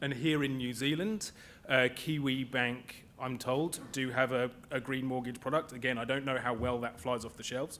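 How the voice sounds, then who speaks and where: With a British accent, a man speaks at a moderate pace, medium pitch and fairly even intonation. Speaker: panelist on green finance. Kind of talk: conference panel talk. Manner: halting.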